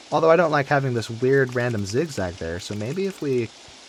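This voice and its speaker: Against noticeable background noise, a man of medium pitch speaks at a moderate pace with very wide pitch swings. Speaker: video game streamer. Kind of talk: gameplay commentary. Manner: casual, thinking aloud.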